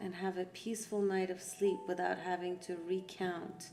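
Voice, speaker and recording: A woman with a Persian accent speaks at a medium pitch and a moderate pace. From Iran. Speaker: art therapy facilitator. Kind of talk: guided art session talk.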